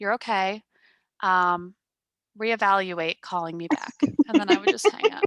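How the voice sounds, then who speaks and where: Against a quiet background with a dry, close sound and no echo, a woman speaks at a moderate pace and medium pitch, with ordinary pitch variation and long, frequent pauses. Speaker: podcast host. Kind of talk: casual chat. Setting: home podcast recording with headset.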